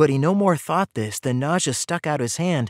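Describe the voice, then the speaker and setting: An unremarkable speaking voice carries lively intonation. The recording is very clean, with a silent background and a dry, close sound with no echo. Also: man. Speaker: audiobook narrator. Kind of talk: audiobook narration.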